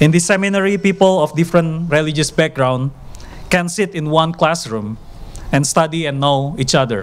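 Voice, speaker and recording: Over noticeable background noise, a man talks at a moderate pace. His pitch is fairly high. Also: ordinary pitch variation. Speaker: alumni speaker, PhD student and lecturer. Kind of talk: graduation speech. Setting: graduation ceremony with audience.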